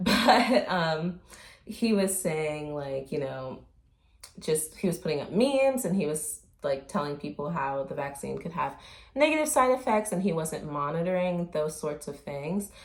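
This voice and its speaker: Fairly low in pitch, a woman speaks at a fairly slow pace. Her pitch swings very widely. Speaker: commentary vlogger. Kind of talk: casual commentary vlog. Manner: hesitant, many fillers.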